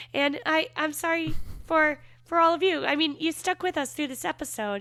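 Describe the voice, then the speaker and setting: A woman's raised, projected voice, high in pitch, with very wide pitch swings, a bright, sharp tone and a moderate pace, on a very clean recording with a silent background. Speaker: podcast co-host. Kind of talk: casual podcast chat, episode recap.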